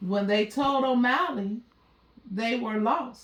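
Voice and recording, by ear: Audible room echo surrounds a woman who speaks slowly. Her pitch is fairly high with ordinary variation.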